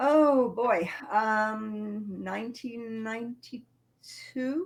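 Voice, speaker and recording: Talking very slowly with a British accent, a woman uses a fairly high pitch and ordinary pitch variation. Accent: British, still present. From England. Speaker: princess, medieval reenactor. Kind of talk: casual interview.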